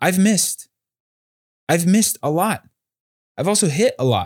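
In an American accent, a man speaks at a moderate pace. His pitch swings very wide. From Southern California. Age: 20s. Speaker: entrepreneur and crypto analyst. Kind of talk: casual chat.

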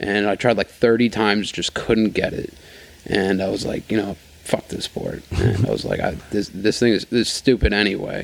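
Flat and monotone, a man with an American accent speaks at a moderate pace in a fairly low pitch. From New York, Rockland County. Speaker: wakeboarder. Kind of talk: casual chat.

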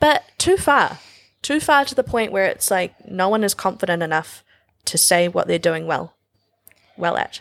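With a New Zealand accent and a medium pitch, a woman speaks at a moderate pace, making very wide pitch swings and long, frequent pauses. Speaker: fashion designer and stylist. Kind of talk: casual chat.

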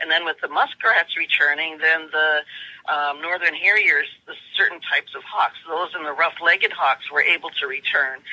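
An ordinary speaking voice with fairly even intonation shows big swings in loudness, with a dry, close sound and no echo. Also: woman, fairly low pitch for a woman, moderate pace. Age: 60s. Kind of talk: interview.

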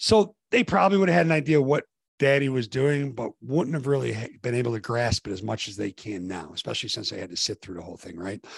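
In a quiet background, a man speaks at medium pitch with lively intonation and a somewhat breathy voice. The sound is dry and close, with no echo. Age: 50s. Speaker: executive coach, former college basketball coach. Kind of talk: interview conversation.

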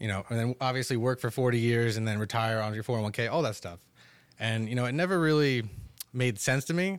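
A man with an American accent speaks at a medium pitch and a very fast pace. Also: ordinary pitch variation, very clean recording, silent background. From northern New Jersey, Totowa. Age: 20s. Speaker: e-commerce entrepreneur. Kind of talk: casual chat.

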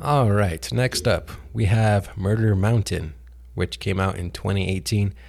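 A man's fairly low, somewhat breathy voice with a dark, mellow tone and lively intonation. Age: 30s. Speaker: podcast host. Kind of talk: casual monologue. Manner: casual, laughs often.

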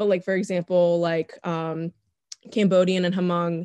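A woman with an American accent talks in a fairly low pitch, her intonation monotone and flat. The very clean recording has a silent background and a dry, close sound with no echo. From US, Northern Virginia. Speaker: podcast guest. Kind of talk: casual chat.

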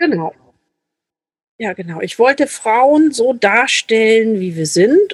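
A woman speaks very slowly with long, frequent pauses, her fairly high pitch making very wide swings. Her loudness swings widely, and the sound is dry and close with no echo. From Lübeck, northern Germany. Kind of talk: casual interview chat.

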